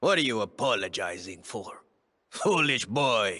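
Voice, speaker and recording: A man puts on a raspy character voice at medium pitch. His pitch swings very widely as he speaks at a moderate pace. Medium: video game. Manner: stern, declamatory.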